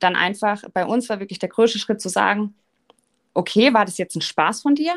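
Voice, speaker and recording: A woman talks at a moderate pace in a normal speaking voice. Her fairly high pitch shows ordinary pitch variation. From Baden, Offenburg area. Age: 30s. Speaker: marketing agency co-founder. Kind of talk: podcast interview.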